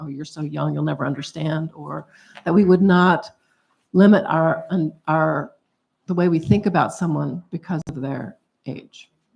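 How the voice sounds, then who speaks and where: At a moderate pace, a woman speaks with vocal fry, a fairly low pitch and ordinary pitch variation. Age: 70s. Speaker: movement elder on a panel. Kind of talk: panel discussion.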